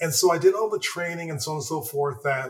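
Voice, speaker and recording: In a Canadian accent, a man talks at a moderate pace with a somewhat breathy voice. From Toronto area, Ontario, Canada. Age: 60s. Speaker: retired hockey player. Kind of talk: interview. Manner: halting, many repeated words.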